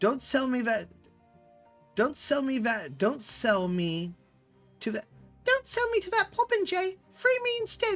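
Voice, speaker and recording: In a put-on character voice, a female-sounding speaker talks at a high pitch with long, frequent pauses while faint music plays in the background. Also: fairly slow pace. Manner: pleading, chittering.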